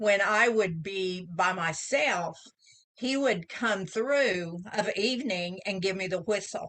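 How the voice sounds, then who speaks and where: A woman with an Oklahoma accent talks at a very slow pace, her pitch medium and its variation ordinary. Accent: Oklahoma Southern US. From Southeast Oklahoma. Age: 70s. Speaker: author. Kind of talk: casual interview storytelling.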